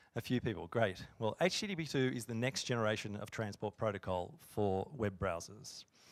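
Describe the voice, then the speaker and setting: Moderate-paced speech with an Australian accent. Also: man, very clean recording, silent background. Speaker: software engineer. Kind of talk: conference talk. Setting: stage with audience.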